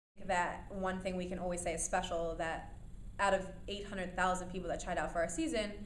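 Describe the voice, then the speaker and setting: A woman with a medium-pitched voice speaks at a fairly quick pace, with audible room echo around her. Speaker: reality TV alum and radio host. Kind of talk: interview. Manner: loud, energetic.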